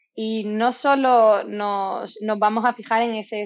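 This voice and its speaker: Fairly high-pitched speech from a woman, her intonation fairly even. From southern Spain, Málaga. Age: 20s. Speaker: dietitian-nutritionist. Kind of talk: interview. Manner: hesitant, many fillers.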